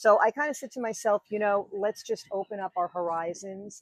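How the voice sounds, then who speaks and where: In a New York accent, a woman at medium pitch talks at a moderate pace with lively intonation and a dry, close sound with no echo. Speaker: wedding officiant. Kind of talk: podcast interview.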